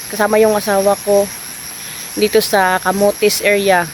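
Over noticeable background noise, a woman with a Visayan accent speaks at a medium pitch in a monotone, flat intonation. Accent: Visayan accent in Tagalog. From Visayas, Philippines. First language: Bisaya (speaking Tagalog). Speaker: vlogger. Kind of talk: casual vlog narration. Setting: outdoors. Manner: halting, repetitive.

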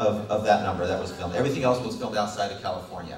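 A man is heard with audible room echo. There is light background noise. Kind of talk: public speech. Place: hall. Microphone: podium.

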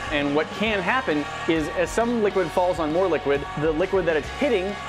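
A man talks with ordinary pitch variation while clear music is heard in the background. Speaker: science video host. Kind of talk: casual explanatory commentary. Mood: playful, upbeat. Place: kitchen. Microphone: lapel.

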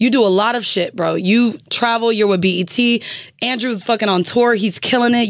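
Over a quiet background, a woman with a plain, everyday voice and a fairly high pitch talks at a moderate pace, her loudness very even and her intonation fairly even. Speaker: podcaster. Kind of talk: casual chat. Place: studio. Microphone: studio mic.

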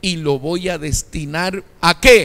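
A man's high-pitched voice at a very slow pace. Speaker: pastor. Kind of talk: sermon. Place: church. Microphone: handheld.

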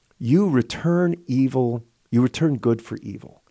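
A man's voice, dark, mellow and warm in tone. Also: quiet background. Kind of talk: relaxed radio chat. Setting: radio studio, live broadcast. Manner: conversational, warm, rambling. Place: studio. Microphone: studio mic.

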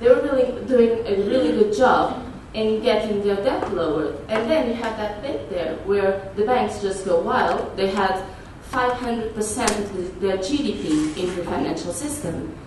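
A woman speaks at a fairly slow pace with lively intonation. Room echo is audible, and there is noticeable background noise. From Portugal. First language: Portuguese. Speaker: activist and conference speaker. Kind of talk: conference talk with slides. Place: meeting room.

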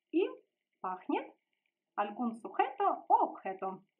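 In a Russian accent, a woman speaks with a high pitch and very wide pitch swings against a quiet background. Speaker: language teacher. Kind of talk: tutorial. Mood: friendly, smiling. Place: home room. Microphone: phone near.

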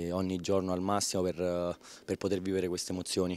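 A man's very deep, low voice, monotone and flat, at a fairly quick pace, with a dark, mellow tone and a dry sound with no echo. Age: 20s. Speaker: fencer. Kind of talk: post-competition interview. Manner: halting, with many repetitions. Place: hall. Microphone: handheld.

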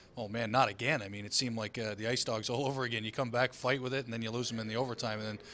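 A man's very fast delivery, fairly bright in tone, with fairly even intonation. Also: medium pitch for a man.

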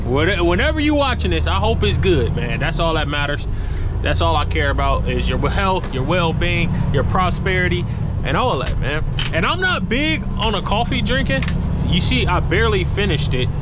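Loud background noise and a dry sound with no echo. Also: man, moderate pace. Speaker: truck driver vlogger. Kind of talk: casual vlog chat. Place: car. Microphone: phone near.

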